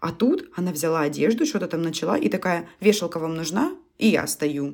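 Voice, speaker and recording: Her voice is fairly low with vocal fry as the woman speaks at a moderate pace. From Russia. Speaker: podcast co-host. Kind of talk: casual chat.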